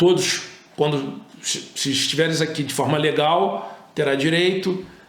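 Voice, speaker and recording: Amid noticeable background noise and audible room echo, a man speaks with a fairly high pitch and ordinary pitch variation. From Brazil, Rio de Janeiro. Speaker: immigration lawyer. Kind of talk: informative interview talk.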